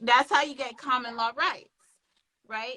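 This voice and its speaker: A woman speaks in a raised, projected voice with a bright, sharp tone. Her pitch sits high. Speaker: trademark attorney. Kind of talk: live interview. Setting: Instagram live stream.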